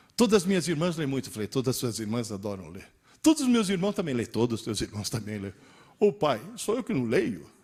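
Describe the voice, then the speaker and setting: A somewhat breathy male voice with very wide pitch swings, on a very clean recording with a silent background. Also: medium pitch for a man, fairly quick pace. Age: 60s. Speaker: teacher giving a talk. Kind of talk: lecture.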